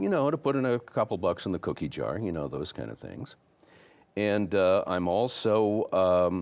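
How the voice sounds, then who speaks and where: A man with a Midwestern American accent talks at a moderate pace, his fairly low voice carrying lively intonation. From LaSalle-Peru, Illinois. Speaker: former radio host. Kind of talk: interview answer.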